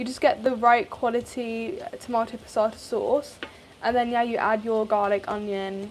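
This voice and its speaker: Someone with a British accent talks at a moderate pace with ordinary pitch variation over noticeable background noise. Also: woman. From England. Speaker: cooking content creator. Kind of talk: live cooking stream chat. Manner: casual, chatty.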